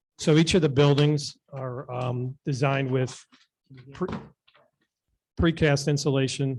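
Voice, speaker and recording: Speaking at a fairly slow pace with long, frequent pauses, a man has a fairly high, somewhat breathy voice and fairly even intonation. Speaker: development applicant witness. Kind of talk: formal presentation. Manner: halting. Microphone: too far from the mic.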